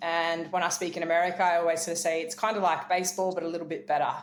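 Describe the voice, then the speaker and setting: This woman speaks at a very fast pace. Her pitch is fairly low. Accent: Australian. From rural New South Wales, Australia. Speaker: keynote speaker and former professional cricketer. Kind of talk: interview testimony.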